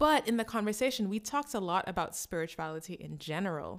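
On a very clean recording, a woman talks against a silent background. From Garifuna diaspora. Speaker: podcast host. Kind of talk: casual chat.

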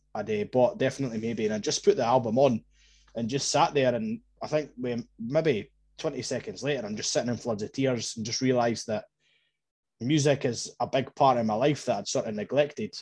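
Against a quiet background, a man with an Edinburgh accent speaks at medium pitch with ordinary pitch variation. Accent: Edinburgh Scottish. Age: 20s. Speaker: football podcaster. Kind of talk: personal story in casual chat.

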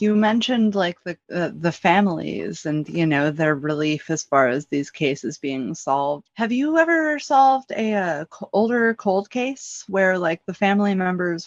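With an unremarkable speaking voice, a woman talks at a fairly slow pace and a fairly low pitch, her lively intonation running on with hardly any pauses in a dry, close sound with no echo. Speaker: co-host, true crime podcaster. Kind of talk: interview questions, casual.

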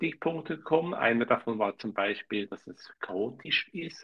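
A man's voice in a Swiss German accent, with vocal fry and very wide pitch swings. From Switzerland, canton of Zurich. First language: Swiss German (speaking German). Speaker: podcast co-host. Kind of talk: casual chat.

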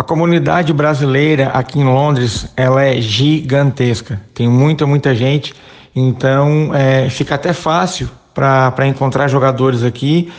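At a fairly slow pace, a man speaks in a medium pitch with fairly even intonation and very even loudness, an unremarkable speaking voice. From Brazil, Santa Catarina (Criciúma). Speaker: amateur football club president and former player. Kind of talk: interview.

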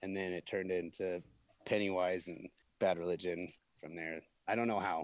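In an American accent, a man with a very deep, low pitch talks at a moderate pace in a monotone, flat intonation, leaving long, frequent pauses. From US Midwest, Peoria, Illinois. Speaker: event production manager. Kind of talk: casual interview.

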